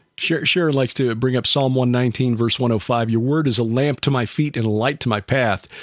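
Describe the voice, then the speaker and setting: With an ordinary speaking voice, a man talks at a fairly quick pace and medium pitch, with very even loudness, fairly even intonation and hardly any pauses. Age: 60s. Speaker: podcast host. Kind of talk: interview.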